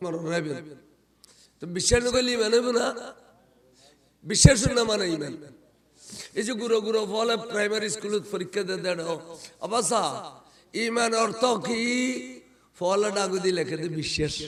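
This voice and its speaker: With ordinary variation in his pitch, a man talks in a high voice. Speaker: Islamic preacher. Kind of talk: humorous Islamic sermon. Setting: PA system at live gathering. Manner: lively, animated.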